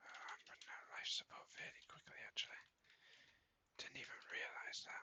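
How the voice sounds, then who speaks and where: Whispering at a fairly quick pace, with long, frequent pauses. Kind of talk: ASMR gaming commentary. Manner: whispered.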